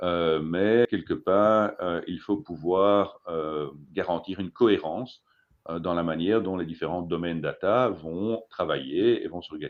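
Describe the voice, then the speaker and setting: With a Belgian accent, a man speaks at a fairly slow pace in a very deep, low pitch with ordinary pitch variation. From Belgium. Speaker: data consultant. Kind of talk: presentation talk. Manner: halting, many fillers and repetitions.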